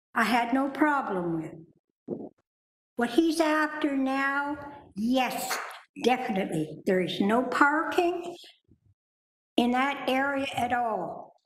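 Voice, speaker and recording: In a room with audible echo, a woman speaks at a very slow pace in a high voice, her pitch swinging very widely between long, frequent pauses. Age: 80s+. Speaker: resident speaking at a public hearing. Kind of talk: public hearing testimony. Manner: emphatic.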